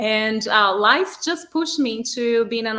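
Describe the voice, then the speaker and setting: Over noticeable background noise, a woman talks with a strong Brazilian accent. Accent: thick Brazilian Portuguese. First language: Portuguese. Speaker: artist, project team member. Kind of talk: interview.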